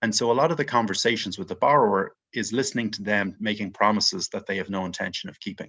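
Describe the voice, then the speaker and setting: In an Irish accent, a man speaks fairly quickly in a fairly low, bright, sharp voice with ordinary pitch variation against a quiet background. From Ireland, Dublin. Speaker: mortgage investment executive. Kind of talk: podcast interview.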